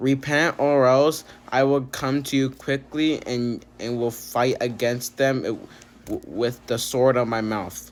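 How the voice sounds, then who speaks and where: At a fairly slow pace, a man speaks at a medium pitch with fairly even intonation. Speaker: bible reading video host. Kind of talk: reading aloud. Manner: halting, stumbles over words; many filler words.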